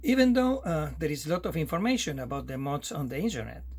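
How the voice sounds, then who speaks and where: A man speaks with an Argentine accent. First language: Spanish. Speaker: amateur radio operator. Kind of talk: tutorial. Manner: halting.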